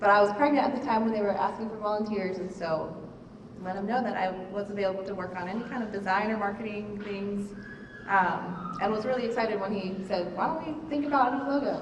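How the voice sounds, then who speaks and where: A woman speaks very fast at a medium pitch. Noticeable background noise and audible room echo run through the recording. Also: ordinary pitch variation. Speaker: volunteer brand designer. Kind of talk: presentation at a parent meeting. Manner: soft-spoken.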